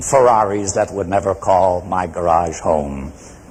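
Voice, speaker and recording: A man speaks at a fairly slow pace with noticeable background noise present. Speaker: public speaker. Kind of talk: competitive speech to audience.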